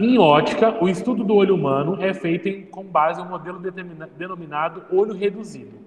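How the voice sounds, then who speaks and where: A high-pitched man at a fairly quick pace, fairly even in intonation, with hardly any pauses and noticeable background noise. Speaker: physics teacher. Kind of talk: classroom lecture.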